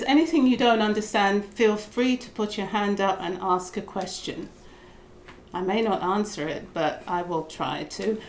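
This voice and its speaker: This woman talks at a medium pitch with a British accent. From Britain. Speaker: diversity trainer and consultant. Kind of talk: talk to a group. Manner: soft-spoken. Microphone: too quiet.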